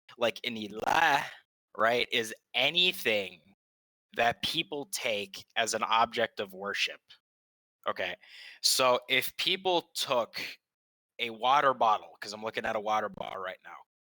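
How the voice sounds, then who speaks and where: On a very clean recording with a silent background and a dry, close sound with no echo, a man with an American accent speaks at a medium pitch in a bright, sharp tone, with lively intonation, big swings in loudness, a fairly slow pace and long, frequent pauses. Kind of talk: debate.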